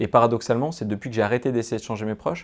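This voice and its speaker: This very clean recording has a silent background. A man speaks at a medium pitch with ordinary pitch variation. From France, Grenoble area. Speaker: author and podcaster. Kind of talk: interview. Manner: fast; animated.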